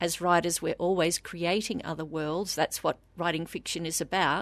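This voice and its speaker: In a quiet background, a woman talks at a moderate pace. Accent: Australian. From Australia. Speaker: novelist. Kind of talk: interview.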